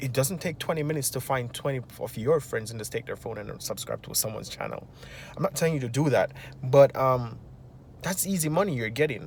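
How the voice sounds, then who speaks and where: With a Jamaican accent, a man at a medium pitch speaks at a very fast pace with ordinary pitch variation. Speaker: finance vlogger. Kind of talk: casual advice monologue.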